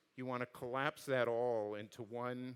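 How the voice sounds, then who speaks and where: Using a normal speaking voice, the man holds a medium pitch and a moderate pace. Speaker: design and engineering executive. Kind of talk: conference talk and Q&A.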